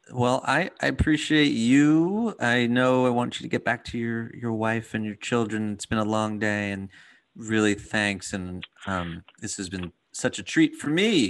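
A man in a normal speaking voice, medium in pitch with ordinary pitch variation, at a fairly slow pace against a quiet background. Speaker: podcast host and dad coach. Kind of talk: casual interview conversation.

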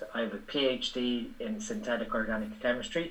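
A man speaks with an Irish accent at a medium pitch. His pitch swings very widely. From Ireland. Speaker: bodybuilding coach and physiology educator. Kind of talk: casual interview chat.

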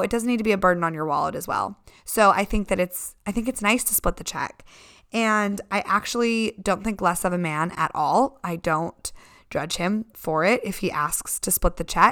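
Lively intonation runs through a woman's bright, sharp tone. The recording is very clean, with a silent background. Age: 20s. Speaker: podcast host. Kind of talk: solo Q&A podcast. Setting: home living room. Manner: casual, chatty with laughs.

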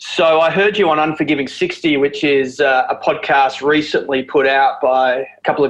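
A man's fairly high voice in an Australian accent, with noticeable background noise. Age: 40s. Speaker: podcast host. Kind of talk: scripted intro; casual interview chat.

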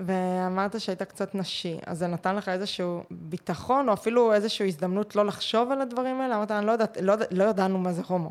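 A woman's normal speaking voice at medium pitch, fairly quick and with hardly any pauses, with ordinary pitch variation. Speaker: podcast host, mental coach, former swimmer. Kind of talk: interview conversation.

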